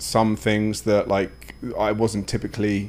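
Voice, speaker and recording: Here a man with an English accent talks at a fairly low pitch. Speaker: wellness coach. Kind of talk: casual podcast conversation. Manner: talkative, many fillers and restarts.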